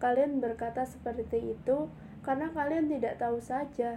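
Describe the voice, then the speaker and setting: Her pitch high and her tone dark and mellow, a woman speaks at a moderate pace with fairly even intonation. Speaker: audiobook narrator. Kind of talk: audiobook reading of a memoir, calm literary narration. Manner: measured, soft, introspective, changes tone for quoted psychiatrist dialogue.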